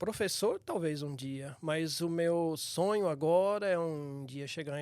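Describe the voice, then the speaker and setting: This is a man talking. He has an unremarkable speaking voice. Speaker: church elder. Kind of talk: casual chat.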